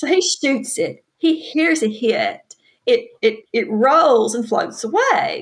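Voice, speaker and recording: Very slowly, a woman speaks in a high pitch with a Southern US accent. Her voice makes very wide pitch swings. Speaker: author. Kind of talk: casual interview chat.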